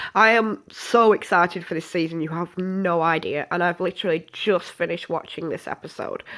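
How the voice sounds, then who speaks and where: With a British accent, a woman talks at a fairly quick pace in a fairly low pitch, her intonation fairly even and hardly any pauses between words. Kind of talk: casual review to camera. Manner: sniffing, snorting.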